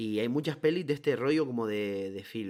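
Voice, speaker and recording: A man with an unremarkable speaking voice talks at a moderate pace with lively intonation. The recording is very clean, the background silent. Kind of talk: casual chat.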